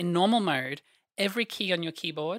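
A woman with an Australian accent is heard in a dry, close sound with no echo, on a very clean recording with a silent background. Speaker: programmer. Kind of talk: casual interview, tech explanation.

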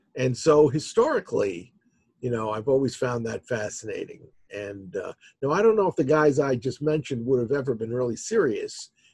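A man with a somewhat breathy, medium-pitched voice and lively intonation talks at a moderate pace. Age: 60s. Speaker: author. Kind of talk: casual chat.

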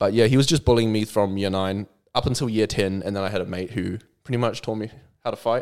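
A man with a New Zealand accent speaks very fast in a fairly low voice with fairly even intonation, in a very clean recording with a silent background. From New Zealand, South Auckland. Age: 20s. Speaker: content creator. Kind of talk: casual chat.

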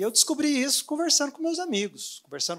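A man with lively intonation. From Brazil, Anápolis (Goiás). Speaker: dentist and online course creator. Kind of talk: interview at a live event.

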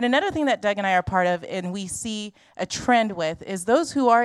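A woman speaks at a fairly quick pace with lively intonation, recorded very cleanly against a silent background. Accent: Californian. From Los Angeles. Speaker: missionary. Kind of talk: church presentation. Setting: church.

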